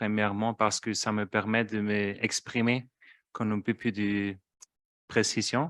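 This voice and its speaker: With a German accent and a fairly low pitch, a man speaks at a very slow pace in a monotone, flat intonation, recorded dry and close with no echo in a very clean recording with a silent background. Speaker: trade union policy officer. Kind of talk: conference talk. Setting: conference hall with interpretation headphones. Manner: hesitant, many filler sounds.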